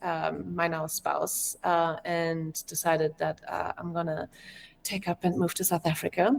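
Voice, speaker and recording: Woman with a German accent and a fairly low pitch at a fairly slow pace. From Germany. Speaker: game developer. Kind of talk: interview.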